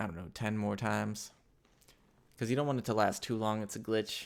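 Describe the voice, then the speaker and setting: A man with a fairly low pitch speaks with vocal fry. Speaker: motion graphics tutorial creator. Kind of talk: tutorial. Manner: fast; casual, animated.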